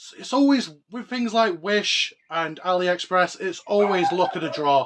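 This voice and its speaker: Speaking in a northern English accent, a man uses a high pitch. His intonation is lively and his pace moderate. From northern England, Oldham, Greater Manchester. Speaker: collectibles YouTuber. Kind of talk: casual show-and-tell vlog. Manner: animated.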